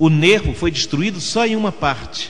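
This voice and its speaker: At a fairly slow pace, a man talks while music sounds in the background. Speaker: radio announcer; voice-over artist for commercials. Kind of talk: dramatic religious narration.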